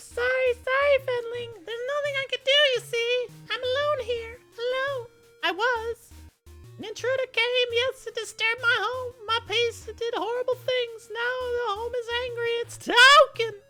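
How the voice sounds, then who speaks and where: A put-on character voice, shrill and squeaky with an extremely high pitch, goes at a moderate pace over faint background music. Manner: anxious, fawning, pleading.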